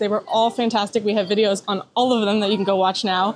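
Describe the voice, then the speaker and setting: Noticeable noise fills the background while a woman talks. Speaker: travel vlogger. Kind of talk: vlog narration. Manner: fast.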